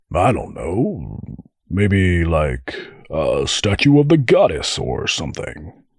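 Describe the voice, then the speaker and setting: A man's put-on character voice, fairly low in pitch and fairly slow in pace. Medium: read story. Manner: jokey, boisterous.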